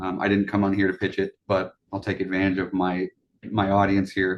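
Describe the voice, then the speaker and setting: This man's voice sits fairly low and stays monotone and flat. He talks at a fairly quick pace. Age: 30s. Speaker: vintage computer hobbyist and entrepreneur. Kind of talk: interview.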